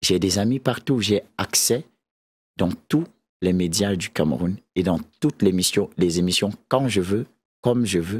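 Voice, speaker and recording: With long, frequent pauses, a man speaks fairly slowly and with lively intonation at a fairly low pitch, in a dry, close sound with no echo. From Cameroon, centre (Akonolinga). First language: a Beti language of central Cameroon (speaking French). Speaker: musician. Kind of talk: talk show interview.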